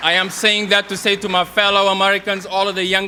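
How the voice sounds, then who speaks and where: In a Senegalese accent, a man with a high pitch uses a raised, projected voice and a bright, sharp tone at a fairly quick pace. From Senegal (Kaolack). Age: young. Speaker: political youth organizer. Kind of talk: campaign speech. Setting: stage with audience.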